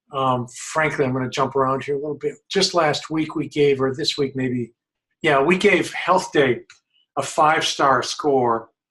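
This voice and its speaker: An unremarkable speaking voice from a man at a fairly high pitch, fairly slow pace and fairly even intonation. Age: 60s. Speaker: health journalism watchdog, site founder. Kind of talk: webinar presentation. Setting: online webinar.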